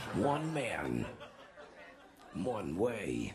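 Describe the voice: Over clear background noise, a man puts on a gravelly character voice, fairly low in pitch, with very wide pitch swings.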